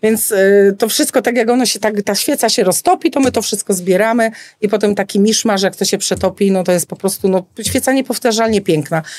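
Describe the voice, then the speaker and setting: A woman with a fairly high pitch speaks very fast. Her pitch varies in an ordinary way. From rural Poland. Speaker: florist. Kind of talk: casual interview. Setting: studio.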